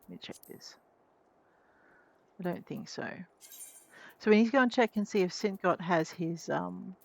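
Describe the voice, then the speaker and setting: A soft-spoken woman at a medium pitch with ordinary pitch variation, big swings in loudness, a moderate pace and long, frequent pauses. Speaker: game streamer. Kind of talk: let's play commentary. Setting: live stream.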